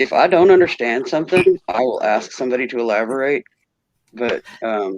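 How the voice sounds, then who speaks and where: Lively intonation marks this man's medium-pitched voice in an American accent. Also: dry, close sound with no echo. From US, picked up Southern in Nashville. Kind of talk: casual chat.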